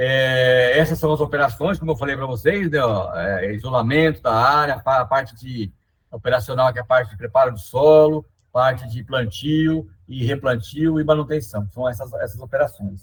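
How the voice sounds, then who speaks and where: A man's somewhat breathy voice at medium pitch, with ordinary pitch variation. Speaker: environmental restoration technician. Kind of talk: webinar presentation. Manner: fast; hesitant, many fillers.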